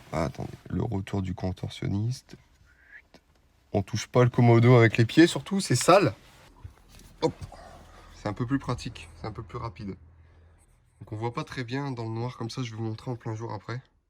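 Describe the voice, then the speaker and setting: With big swings in loudness and long, frequent pauses, a somewhat breathy man speaks at a moderate pace. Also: medium pitch for a man, ordinary pitch variation. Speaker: car vlogger. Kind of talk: vlog tutorial. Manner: casual.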